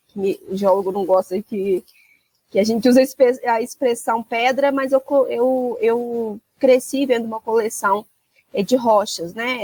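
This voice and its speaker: A fairly slow, fairly high-pitched woman in a Minas Gerais accent, with ordinary pitch variation. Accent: Minas Gerais (mineiro) accent, noticeable. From Minas Gerais, Brazil (Rio Acima, near Belo Horizonte). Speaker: mining compliance executive. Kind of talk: interview.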